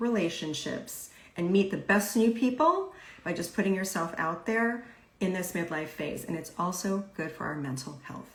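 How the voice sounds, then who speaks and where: A woman with a medium pitch and lively intonation talks at a moderate pace against noticeable background noise. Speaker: podcast host and life coach. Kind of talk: live interview host talk.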